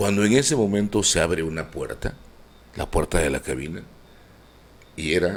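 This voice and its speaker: A man speaks at a very deep, low pitch with vocal fry. His pitch swings very widely. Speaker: radio and TV announcer. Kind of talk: interview answer.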